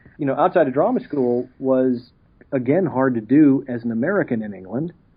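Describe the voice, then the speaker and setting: Talking at a fairly quick pace with a Texas accent, a man has a medium pitch and ordinary pitch variation. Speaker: actor. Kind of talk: interview.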